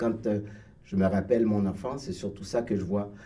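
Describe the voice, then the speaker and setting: Fairly even intonation with audible room echo. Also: man. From Haiti, Port-au-Prince. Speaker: writer and painter. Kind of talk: radio interview. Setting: radio studio. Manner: halting, many hesitations.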